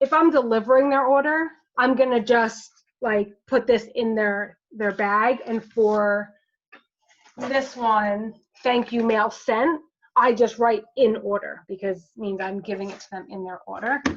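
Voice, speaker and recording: A woman's fairly high voice with ordinary pitch variation and big swings in loudness, an ordinary speaking voice. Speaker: direct sales team leader. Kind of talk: team training over video call. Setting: video call.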